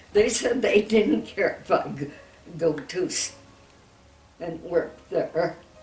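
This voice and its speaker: A woman talks very slowly with music playing behind her. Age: 80s+. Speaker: centenarian interviewee. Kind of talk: interview answer.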